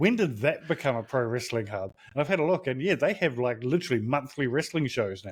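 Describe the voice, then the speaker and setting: Talking at a very fast pace with hardly any pauses, a man with a New Zealand accent uses a medium pitch, lively intonation and a somewhat breathy sound. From rural New Zealand. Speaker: wrestling podcaster. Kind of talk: casual chat.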